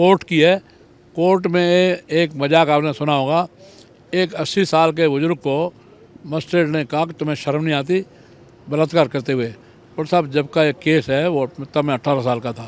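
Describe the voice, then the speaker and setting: An ordinary speaking voice carries fairly even intonation. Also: man. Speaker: politician. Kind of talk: interview.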